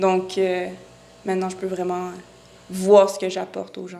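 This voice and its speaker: Against noticeable background noise, a woman with a Quebec accent speaks at a moderate pace. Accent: Québécois French. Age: 20s. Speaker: real estate broker. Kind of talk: podcast interview.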